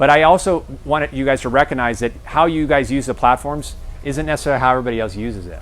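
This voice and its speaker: Over music in the background, a man with a medium pitch rushes along at a very fast pace with ordinary pitch variation. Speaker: guest speaker at a realtor seminar. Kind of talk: seminar talk.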